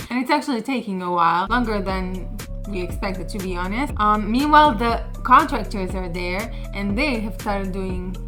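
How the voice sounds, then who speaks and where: Over music in the background, a woman speaks at a moderate pace and medium pitch with ordinary pitch variation. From Israel. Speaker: YouTuber sharing personal rental stories. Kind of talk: casual talk to camera, personal storytelling. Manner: conversational, casual.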